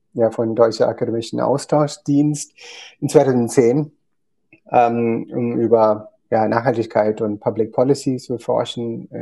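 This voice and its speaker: A man speaks at a very slow pace with monotone, flat intonation. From India, Kerala. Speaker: company founder. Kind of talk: interview. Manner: halting, many fillers.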